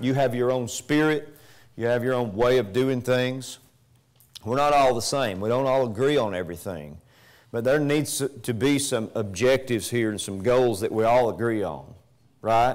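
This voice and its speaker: A man speaks at a moderate pace with ordinary pitch variation against a quiet background. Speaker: preacher. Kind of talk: sermon. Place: church.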